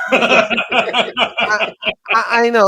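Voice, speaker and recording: In a very clean recording with a silent background, a man with a Russian accent sounds dry and close, with no echo. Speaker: company CEO and franchise consultant. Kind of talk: casual chat.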